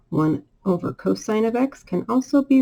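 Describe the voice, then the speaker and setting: Somewhat breathy and dark, mellow in tone, this woman's voice has a medium pitch and a very slow pace. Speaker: math teacher. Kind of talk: tutorial.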